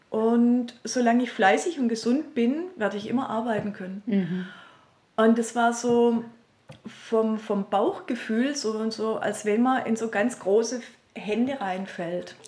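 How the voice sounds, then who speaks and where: Noticeable background noise sits behind a woman speaking at a very slow pace. Her voice is fairly high in pitch, with ordinary pitch variation. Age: 50s. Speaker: healing practice and seminar center owner. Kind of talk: interview. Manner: hesitant, many fillers.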